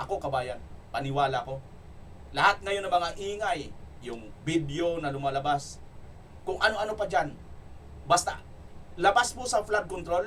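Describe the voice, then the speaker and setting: A man speaks loudly in a high voice with an energetic tone and lively intonation. He leaves long, frequent pauses. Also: moderate pace. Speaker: political commentary vlogger. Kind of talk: political commentary vlog with comment reading. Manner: loud, energetic. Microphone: no microphone, voice quieter.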